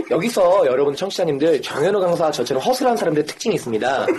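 Very fast and with very wide pitch swings, a man's voice comes through noticeable background noise. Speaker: guest telling his own stories. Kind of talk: casual chat.

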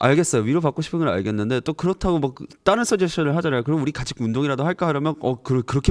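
Against a quiet background, a man with a fairly high pitch speaks at a very fast pace with hardly any pauses. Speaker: podcast host. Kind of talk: casual chat.

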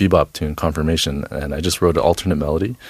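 In a dry, close sound with no echo, a man speaks with an American accent and ordinary pitch variation. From Boston, US. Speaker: jazz saxophonist. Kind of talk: casual studio interview. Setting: radio studio.

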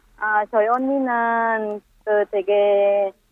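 This woman's voice sits fairly high. Her delivery holds a fairly even intonation. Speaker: immigrant mother. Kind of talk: casual interview.

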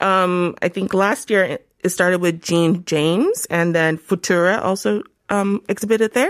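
In an unremarkable speaking voice, a woman talks at a moderate pace and medium pitch with ordinary pitch variation and very even loudness, in a dry, close sound with no echo. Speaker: travel writer and YouTuber. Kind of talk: casual chat. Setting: studio.

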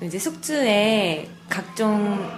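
Against noticeable background noise, a woman speaks in a fairly high voice with very wide pitch swings. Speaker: restaurant owner. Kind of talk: interview. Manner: fluent, articulate.

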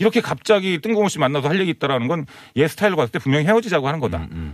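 The voice moves at a very fast pace, with vocal fry throughout. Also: man. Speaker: comedian. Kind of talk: casual chat.

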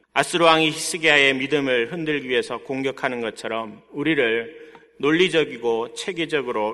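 A man speaks at a moderate pace in a medium pitch. His tone is bright and sharp, with ordinary pitch variation. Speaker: pastor. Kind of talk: sermon.

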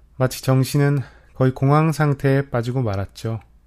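Recorded very cleanly against a silent background, a man with an unremarkable speaking voice and fairly high pitch speaks at a fairly slow pace. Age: 20s. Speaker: podcast host, university student. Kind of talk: scripted monologue radio-style.

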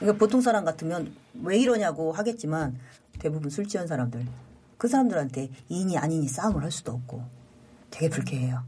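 A woman speaks at a fairly quick pace in a very deep, low pitch with very wide swings. Her tone is dark, mellow and somewhat breathy, broken by long, frequent pauses. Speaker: paramedic station chief. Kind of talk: interview testimony.

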